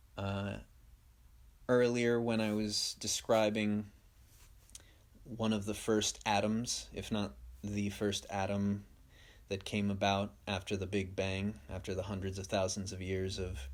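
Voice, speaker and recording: Long, frequent pauses from a man at a fairly low pitch, fairly slow and monotone with flat intonation, on a very clean recording with a silent background. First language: Spanish. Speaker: podcast host. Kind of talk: stream-of-consciousness monologue.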